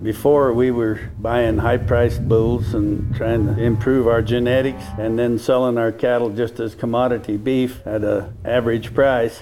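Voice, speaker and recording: A man at a fairly slow pace in flat, monotone intonation, over noticeable background noise. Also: medium pitch for a man, hardly any pauses. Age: 70s. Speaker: cattle rancher. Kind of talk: interview.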